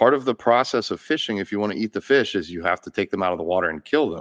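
A man's fairly low, normal speaking voice, with a dry, close sound with no echo and a quiet background. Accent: American. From Florida (Gainesville). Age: 30s. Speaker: podcast host, vegan bodybuilder. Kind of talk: casual chat.

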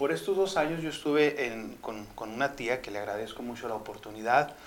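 A man's normal speaking voice, with lively intonation, at a moderate pace. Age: 40s. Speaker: motivational speaker. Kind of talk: testimony.

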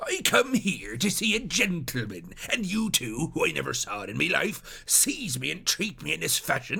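A man's put-on character voice, fairly high and bright with a sharp tone, vocal fry and very wide pitch swings, at a moderate pace.

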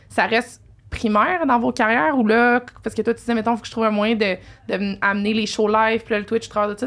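Her pitch sits fairly high. The woman delivers her words at a very fast pace. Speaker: podcast host. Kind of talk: casual interview chat. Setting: live-streamed podcast.

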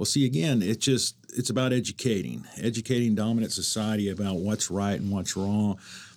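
Speaking at a fairly quick pace, a man has a fairly low pitch and a plain, everyday voice. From Oklahoma. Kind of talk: casual interview.

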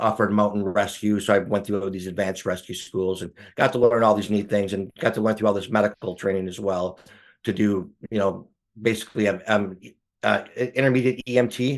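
Against a quiet background, a man with a plain, everyday voice and an American accent speaks at a fairly quick pace, fairly low in pitch, with fairly even intonation. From Wisconsin, US Midwest. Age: 50s. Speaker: photographer and Air Force veteran. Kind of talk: casual interview conversation.

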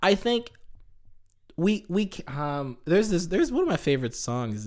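Speaking at a fairly slow pace, a man sounds animated, his pitch swinging very widely. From Tanzania. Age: 20s. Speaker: comedy content creator. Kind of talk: casual chat.

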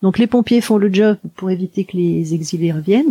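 A woman speaks with a dark, mellow tone and a somewhat breathy quality, her pitch varying normally, in a dry, close recording with no echo. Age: 50s. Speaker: hypnotherapist. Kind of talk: interview. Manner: halting.

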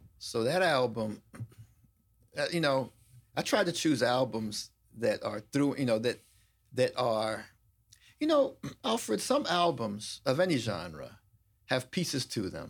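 On a very clean recording with a silent background, a man talks at a fairly slow pace with long, frequent pauses. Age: 50s. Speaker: attorney and law professor. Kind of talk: casual interview chat. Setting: studio.

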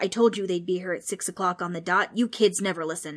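A put-on character voice at a very fast pace, on a very clean recording with a silent background. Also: female-sounding voice. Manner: yelling, indignant.

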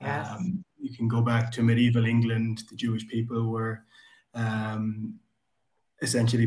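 Somewhat breathy, a man speaks at a moderate pace. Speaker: book club member. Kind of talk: casual chat.

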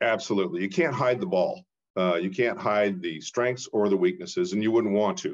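With an American accent, a man at medium pitch talks at a fairly quick pace, his pitch swinging very widely. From Portland, Oregon. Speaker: investment banker. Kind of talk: interview.

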